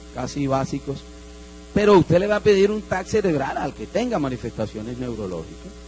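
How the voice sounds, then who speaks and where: The speech moves at a fairly quick pace with big swings in loudness over noticeable background noise. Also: man. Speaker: doctor lecturing at medical congress. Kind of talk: lecture.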